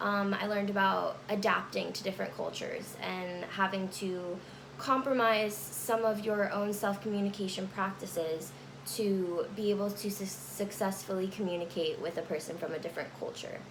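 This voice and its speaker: With audible room echo and noticeable background noise, a woman speaks at a medium pitch and a moderate pace. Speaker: college student. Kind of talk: class speech recorded on camera. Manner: halting, with fillers.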